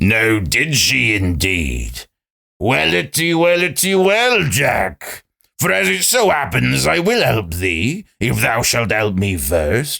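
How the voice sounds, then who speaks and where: A man puts on a character voice, speaking at a fairly slow pace with a fairly low pitch. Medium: read story.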